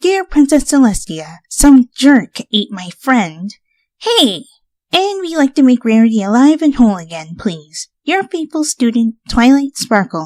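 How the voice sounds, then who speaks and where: A female-sounding put-on character voice, high in pitch, at a moderate pace with very wide pitch swings. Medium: read story. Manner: precise, lecturing.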